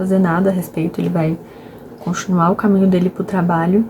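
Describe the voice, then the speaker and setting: Against noticeable background noise, a soft-spoken woman talks at a medium pitch with fairly even intonation. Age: 20s. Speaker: book vlogger. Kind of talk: casual vlog book talk. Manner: soft-spoken, speaking quietly; talkative.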